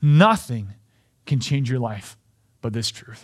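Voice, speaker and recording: A voice with a Canadian accent, captured on a very clean recording against a silent background. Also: man. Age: 30s. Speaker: pastor. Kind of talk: sermon.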